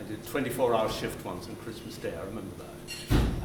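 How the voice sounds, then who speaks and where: Audible room echo and noticeable background noise around a man speaking at moderate speed. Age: 70s. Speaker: actor. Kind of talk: interview. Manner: halting.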